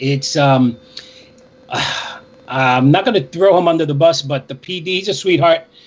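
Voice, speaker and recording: Noticeable background noise sits behind a man whose fairly high voice moves with ordinary pitch variation. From New York City, Inwood Manhattan, Puerto Rican family. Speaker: radio DJ. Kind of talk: casual interview.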